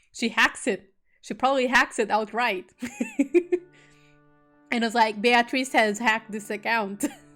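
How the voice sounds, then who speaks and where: With music in the background, a woman speaks in a fairly high pitch at a fairly slow pace, using fairly even intonation and long, frequent pauses. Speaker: VTuber streamer. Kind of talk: casual joking commentary on stream. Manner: somewhat monotone.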